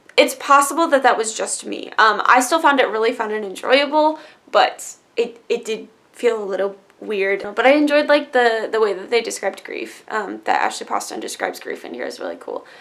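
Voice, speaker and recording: A woman with a fairly high pitch uses lively intonation and big swings in loudness. Vocal fry shows up in her voice. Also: fairly quick pace. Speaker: book youtuber. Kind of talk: casual book review monologue. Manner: fast.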